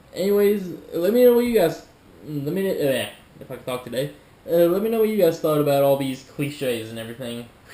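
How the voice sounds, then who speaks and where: With noticeable background noise and audible room echo, a man talks at a fairly quick pace in a fairly high pitch, his voice making very wide pitch swings. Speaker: YouTuber reacting to videos. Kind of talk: casual reaction commentary. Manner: halting, stumbling over words.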